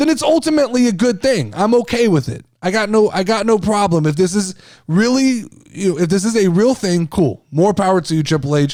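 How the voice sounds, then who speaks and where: With music in the background, a man speaks in an animated tone at a fairly quick pace, his high pitch swinging very widely while his loudness stays very even. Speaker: wrestling podcast host. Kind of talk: casual podcast monologue. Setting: video podcast. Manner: loud, overreactive on air.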